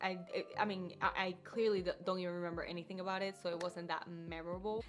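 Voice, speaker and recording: A woman with a Spanish accent talks at a very fast pace in a monotone, flat intonation. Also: medium pitch for a woman. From Puerto Rico. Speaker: book YouTuber. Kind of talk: casual talk to camera.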